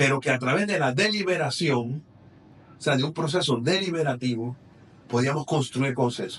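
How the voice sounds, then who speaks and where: A man talks fairly quickly in a somewhat breathy, fairly high voice, his pitch varying in an ordinary way. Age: 60s. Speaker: politician. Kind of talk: interview.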